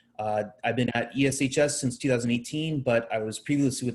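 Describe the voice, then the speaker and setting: A somewhat breathy man speaks in a Southern Californian accent at a fairly quick pace. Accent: Southern Californian American. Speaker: high school English teacher. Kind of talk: presentation to parents.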